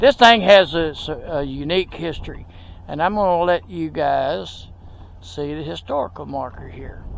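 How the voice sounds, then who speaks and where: Delivered at a moderate pace in a Texas accent, the voice shows big swings in loudness. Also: man. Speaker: video blogger. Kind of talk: casual walking tour narration. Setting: outdoors at a cemetery.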